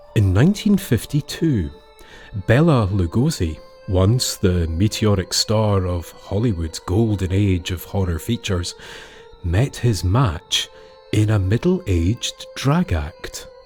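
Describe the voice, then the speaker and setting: Over music in the background, a man speaks at a fairly slow pace with fairly low pitch and lively intonation. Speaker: storyteller. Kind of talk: folklore storytelling narration.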